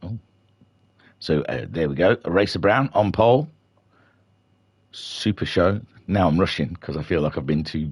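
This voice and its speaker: A quiet man's very deep, low voice with vocal fry, lively intonation, a moderate pace and long, frequent pauses. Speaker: sim racing commentator. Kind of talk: live commentary. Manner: quiet, keeping voice down; relaxed, not yelling.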